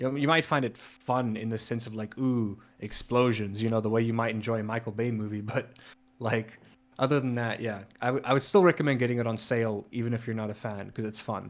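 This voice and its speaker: Keeping his intonation fairly even, a man talks at a very fast pace at a medium pitch. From South Africa. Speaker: gaming podcast co-host. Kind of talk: casual chat. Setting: remote call, late at night.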